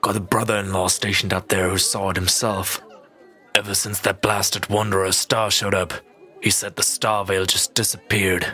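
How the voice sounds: Over faint music in the background, a man does a gruff, put-on character voice, fairly low in pitch and monotone with flat intonation, keeping his loudness very even at a fairly quick pace.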